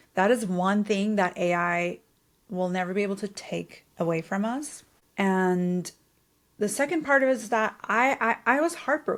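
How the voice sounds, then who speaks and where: Speaking at a moderate pace, a woman with a non-native accent uses lively intonation at a medium pitch. The recording is very clean, with a silent background. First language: not English. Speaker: podcast host. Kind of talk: podcast interview. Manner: animated.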